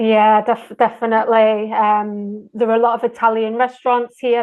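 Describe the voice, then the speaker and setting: With a northern English accent, a woman speaks at a fairly high pitch in a monotone, flat way. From Manchester, England. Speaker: English teacher. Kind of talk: interview answer.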